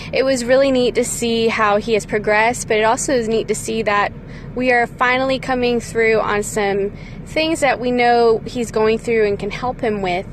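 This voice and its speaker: A woman speaks at a moderate pace with a fairly high pitch and ordinary pitch variation, over noticeable background noise. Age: 30s. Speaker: parent podcaster. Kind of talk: devotional monologue.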